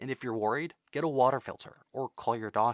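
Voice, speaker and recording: An unremarkable speaking voice from a man at medium pitch and moderate pace, ordinary pitch variation, dry, close sound with no echo, very clean recording with a silent background. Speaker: radio reporter. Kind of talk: news reporting.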